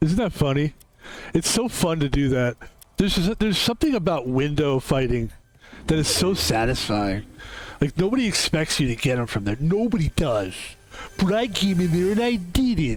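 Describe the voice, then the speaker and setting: Over noticeable background noise, a man with a fairly high pitch talks in an animated tone, his pitch swinging very widely. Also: moderate pace, very even loudness. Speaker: gaming streamer. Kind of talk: live gameplay commentary.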